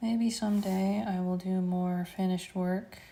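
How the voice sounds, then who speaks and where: A soft-spoken woman talks at a very slow pace. Her intonation stays fairly even. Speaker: artist streaming live sketches. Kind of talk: casual live stream chat while drawing. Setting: art studio, live stream. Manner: soft-spoken, quiet.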